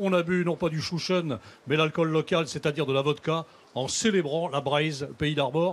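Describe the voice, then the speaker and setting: A man speaks in an ordinary speaking voice at a moderate pace, his fairly high pitch held in fairly even intonation. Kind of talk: live TV show anecdote.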